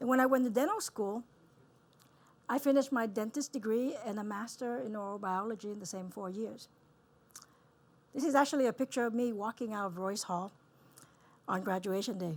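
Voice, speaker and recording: A woman with a Vietnamese accent, fairly high pitch and ordinary pitch variation, at a fairly quick pace broken by long, frequent pauses. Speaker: dentist. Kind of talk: keynote talk. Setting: stage with audience.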